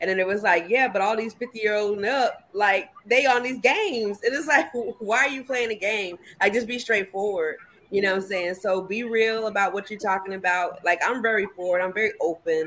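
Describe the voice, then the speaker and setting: The speaker has a plain, everyday voice. The pace is fairly quick, with ordinary pitch variation. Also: woman, medium pitch for a woman. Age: 40s. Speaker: podcast guest. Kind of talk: casual chat.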